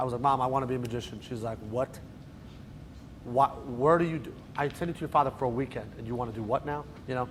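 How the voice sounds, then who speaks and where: A man speaks at a very fast pace with a New Jersey accent. His intonation stays fairly even. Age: 30s. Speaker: magician. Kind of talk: lecture. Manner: casual, joking.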